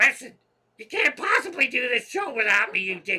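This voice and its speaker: This is a put-on character voice, high in pitch, with very wide pitch swings. It moves at a fairly quick pace. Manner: bossy, insulting.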